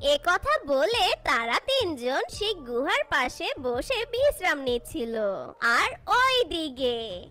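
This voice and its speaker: Over light background noise, a cartoonish character voice at an extremely high pitch moves slowly with very wide pitch swings. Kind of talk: folk tale narration.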